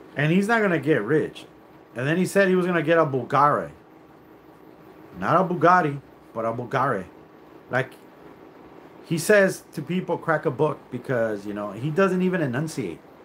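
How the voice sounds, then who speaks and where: With vocal fry and a fairly high pitch, a man talks at a moderate pace with lively intonation and long, frequent pauses. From California, Mexican American. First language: Spanish. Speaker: YouTuber. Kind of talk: livestream rant. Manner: animated; halting.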